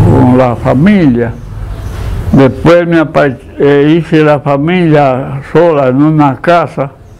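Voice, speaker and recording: Over light background noise, a man speaks at a very slow pace with ordinary pitch variation. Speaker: interviewee. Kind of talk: interview answer. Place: home room. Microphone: lapel.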